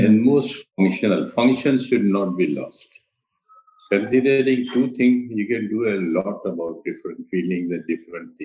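Speaking at a moderate pace in an Indian accent, a man has a dark, mellow tone, a medium pitch and ordinary pitch variation. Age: 80s+. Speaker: architect. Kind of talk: interview. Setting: remote call.

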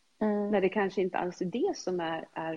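Her pitch is fairly low, and the speaker is a woman. She talks at a moderate pace with ordinary pitch variation. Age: 50s. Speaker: health and fitness coach. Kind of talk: casual chat. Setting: video call.

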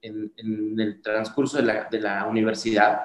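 The man talks at a very slow pace, with a medium pitch and fairly even intonation. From Mixteca region, Oaxaca, southern Mexico. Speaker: dental clinic founder and CEO. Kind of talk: interview.

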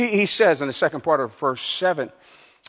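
Lively intonation from a man at a moderate pace, pitched fairly high. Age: 60s. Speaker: pastor. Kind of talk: sermon. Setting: church.

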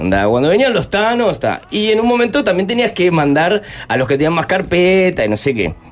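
A man talks in a high pitch at a fairly quick pace. His pitch swings very widely while his loudness stays very even. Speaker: musician and former cook. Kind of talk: interview.

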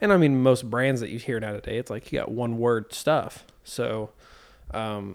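On a very clean recording with a silent background, a normal speaking voice talks at a moderate pace with ordinary pitch variation. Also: man. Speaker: podcast host. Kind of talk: casual chat.

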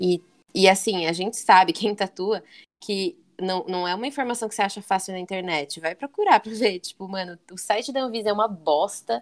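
A woman at a medium pitch and moderate pace with ordinary pitch variation, in a dry, close sound with no echo and a very clean recording with a silent background. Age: 20s. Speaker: tattoo artist. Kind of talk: interview. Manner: talkative.

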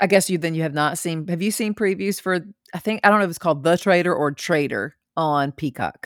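Recorded very cleanly with a silent background, a woman with a fairly low pitch and ordinary pitch variation talks in an unremarkable speaking voice. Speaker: podcast co-host. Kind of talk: casual chat.

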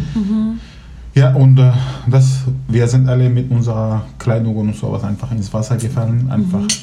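A man with fairly even intonation at a moderate pace, plus audible room echo. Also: medium pitch for a man. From Syria, Aleppo. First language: Kurdish and Arabic (speaking German). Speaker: Syrian refugee, law graduate. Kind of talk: casual chat. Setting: at home over coffee and cake.

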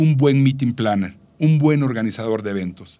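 A normal speaking voice with ordinary pitch variation, recorded very cleanly against a silent background. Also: man. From Mexico, Veracruz port. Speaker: travel podcast co-host. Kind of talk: casual chat.

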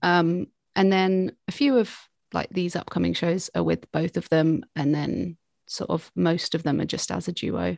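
The recording is dry and close with no echo, over a quiet background. A woman with a fairly low pitch speaks at a fairly slow pace with ordinary pitch variation. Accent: southern English. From southern England. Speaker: singer-songwriter. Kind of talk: interview.

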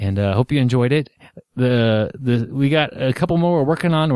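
Over a quiet background, a natural reading voice can be heard.

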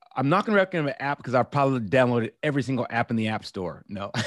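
In a very clean recording with a silent background, a man with an unremarkable speaking voice talks at a medium pitch and a fairly quick pace with lively intonation. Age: 50s. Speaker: former special forces operator and entrepreneur. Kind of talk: casual interview chat.

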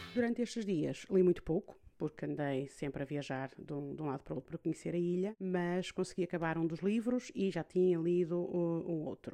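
A woman's fairly low voice, dark and mellow in tone, at a moderate pace with ordinary pitch variation. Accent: European Portuguese. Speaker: podcast host. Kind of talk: personal monologue podcast. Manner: hesitant with fillers.

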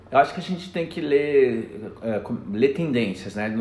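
Audible room echo surrounds this man's voice. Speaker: education director. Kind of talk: interview.

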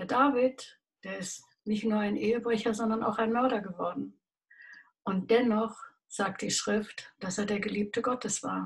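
At a fairly slow pace, a woman with a fairly high pitch speaks with vocal fry. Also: fairly even intonation. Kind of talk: devotional talk.

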